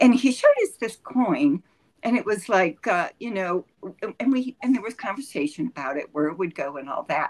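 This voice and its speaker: With an American accent, a woman speaks at a moderate pace with vocal fry and very wide pitch swings, the sound dry and close with no echo. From Ohio. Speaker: retired business analyst. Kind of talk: interview.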